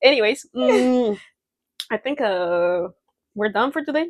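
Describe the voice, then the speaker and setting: On a very clean recording with a silent background, a woman speaks at a medium pitch and a fairly slow pace, with very wide pitch swings and a dry, close sound with no echo. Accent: Spanish. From Mexico. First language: Spanish. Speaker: podcast co-host. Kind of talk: casual chat.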